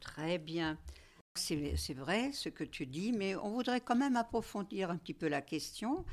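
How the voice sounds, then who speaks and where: A woman's medium-pitched voice with very wide pitch swings at a very slow pace, in a very clean recording with a silent background. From Moselle, eastern France. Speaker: club discussion moderator. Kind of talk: group discussion. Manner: hesitant.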